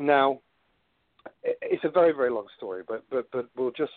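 A man speaks with a British accent. His pace is moderate. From United Kingdom. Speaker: cryptozoologist and explorer. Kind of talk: interview.

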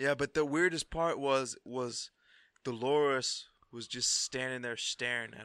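A bright, sharp American-accented voice at a fairly slow pace with fairly even intonation, in a very clean recording with a silent background and a dry, close sound free of echo. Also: man, medium pitch for a man. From US South. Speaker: podcast co-host. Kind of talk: casual chat.

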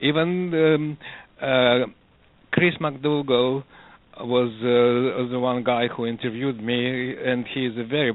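A man talks at a very slow pace, his intonation fairly even. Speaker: running coach and researcher. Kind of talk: interview. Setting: phone call. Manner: halting.

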